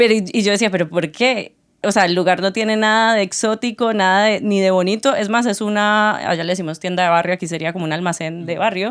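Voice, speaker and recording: A woman at a very fast pace with hardly any pauses and fairly even intonation, in a very clean recording with a silent background. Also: medium pitch for a woman. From Colombia, Tuluá. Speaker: podcast co-host. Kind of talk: casual chat.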